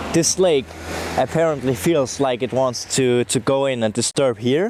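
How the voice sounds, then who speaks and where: A man talks at a fairly slow pace with ordinary pitch variation. Background noise is noticeable. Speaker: music producer. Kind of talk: interview testimony. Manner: halting, many fillers.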